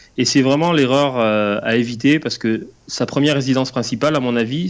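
Medium-pitched man at a moderate pace with ordinary pitch variation, in a very clean recording with a silent background. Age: 40s. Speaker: banker and property investor. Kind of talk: interview. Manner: hesitant, many fillers.

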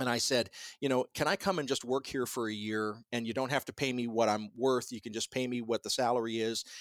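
A man with an American accent and an unremarkable speaking voice talks fairly quickly at medium pitch with fairly even intonation. The sound is dry and close with no echo, on a very clean recording with a silent background. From US South, Columbus, Georgia. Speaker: radio host and professor. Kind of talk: casual interview conversation. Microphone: sounds professional.

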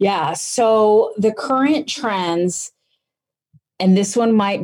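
A woman's fairly high voice, dark and mellow in tone, with ordinary pitch variation. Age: 40s. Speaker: professor and author. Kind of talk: casual interview.

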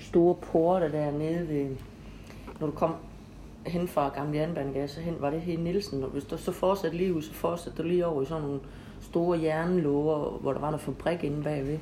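A woman talks at a fairly quick pace with a very deep, low pitch. Her intonation is monotone and flat over noticeable background noise. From Denmark, Horsens (East Jutland). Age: 50s. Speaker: local history podcast host. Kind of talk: interview, casual chat. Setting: home visit interview.

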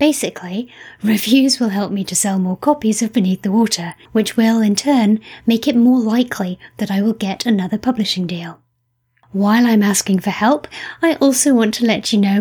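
A woman with a Scottish accent, fairly high pitch and a somewhat breathy sound, with ordinary pitch variation at a moderate pace. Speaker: podcast host and novelist. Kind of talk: interview. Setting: remote interview.

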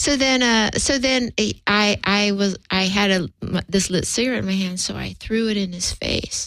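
A woman talks in a plain, everyday voice at medium pitch, keeping a moderate pace and ordinary pitch variation. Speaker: comedian. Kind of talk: radio interview. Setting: studio.

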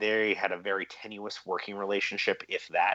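An ordinary speaking voice at a moderate pace. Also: man. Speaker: reporter. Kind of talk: interview.

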